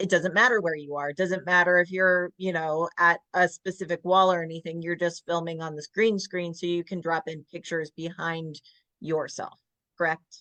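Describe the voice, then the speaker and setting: The voice has a bright, sharp tone and an American accent, moving at a moderate pace with monotone, flat intonation. The sound is dry and close, with no echo. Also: woman, fairly low pitch for a woman. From US South. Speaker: podcast host, publisher. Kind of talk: interview.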